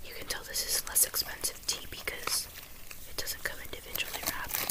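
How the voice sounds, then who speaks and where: The voice is a whisper at a fairly quick pace. Background noise is noticeable. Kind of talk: ASMR tea tasting talk to camera. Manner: whispered.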